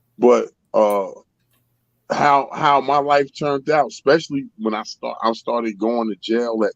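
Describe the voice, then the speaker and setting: This man, with an American accent and a medium pitch, speaks at a fairly slow pace. The sound is dry and close, with no echo. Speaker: guest sharing life story. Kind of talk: casual chat.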